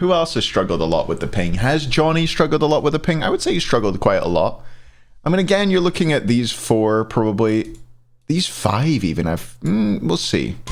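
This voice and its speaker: A fairly high-pitched man at a fairly quick pace, very wide pitch swings, very even loudness. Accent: slight Scottish. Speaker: esports commentator. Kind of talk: livestream ranking commentary. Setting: live stream with chat.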